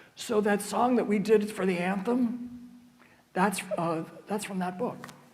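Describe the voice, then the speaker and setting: A man with an American accent at a high pitch and moderate pace, with ordinary pitch variation, noticeable background noise and audible room echo. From US, West Virginia northern panhandle (near Pittsburgh). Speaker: church music director and organist. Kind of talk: adult education talk with Q&A. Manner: halting, many fillers and restarts.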